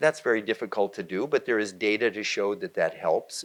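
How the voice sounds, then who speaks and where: A man talks fairly quickly on a very clean recording with a silent background. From US West Coast, San Francisco Bay Area. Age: 60s. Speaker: meditation teacher and nonprofit CEO. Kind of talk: fireside chat interview. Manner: animated.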